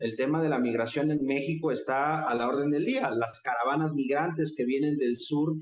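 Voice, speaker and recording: Someone speaks with a Mexican accent at a moderate pace, with fairly even intonation, very even loudness and audible room echo. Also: man, fairly high pitch for a man, hardly any pauses. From Mexico. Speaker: political activist and lecturer. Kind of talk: interview conversation.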